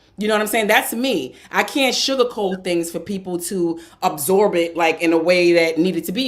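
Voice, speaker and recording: A woman speaks at a moderate pace with a slight New York accent, her medium-pitched voice carrying lively intonation over noticeable background noise. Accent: New York tinge. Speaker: podcast co-host. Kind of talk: casual chat. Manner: blunt, direct.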